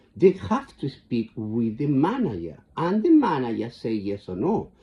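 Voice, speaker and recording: Somewhat breathy, the voice carries a strong Chilean accent and very wide pitch swings. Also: man. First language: Spanish. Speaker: vlogger. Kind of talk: casual monologue. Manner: halting, repetitive.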